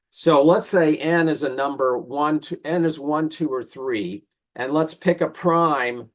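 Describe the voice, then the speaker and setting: The speaker talks at a fairly slow pace with ordinary pitch variation. The recording is very clean, with a silent background. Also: man. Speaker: mathematics professor. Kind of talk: lecture. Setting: talk with audience. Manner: halting, many fillers.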